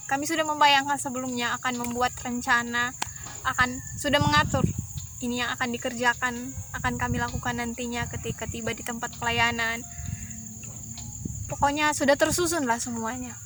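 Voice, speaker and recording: A woman talks at a fairly quick pace, broken by long, frequent pauses. Noticeable background noise runs under her voice. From Poso, Central Sulawesi. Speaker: missionary worker. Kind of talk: casual storytelling chat.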